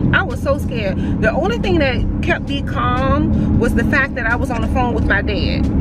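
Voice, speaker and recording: A woman talks at a moderate pace, the sound dry with no echo. Loud background noise is present. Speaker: vlogger. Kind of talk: casual vlog chat, storytelling. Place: car. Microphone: phone near.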